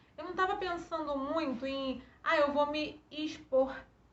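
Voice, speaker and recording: A woman speaks very slowly in a high voice, with audible echo from the room. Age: adult. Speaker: YouTuber talking about her stuttering. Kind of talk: personal testimony vlog. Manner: halting with repetitions.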